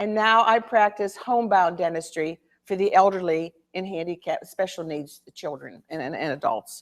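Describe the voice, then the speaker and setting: Speaking at a moderate pace, a woman with a medium pitch shows ordinary pitch variation and big swings in loudness. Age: 60s. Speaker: author and army dentist. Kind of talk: talk with reading aloud. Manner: halting.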